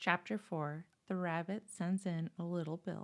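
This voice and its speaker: A soft-spoken woman. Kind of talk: bedtime story.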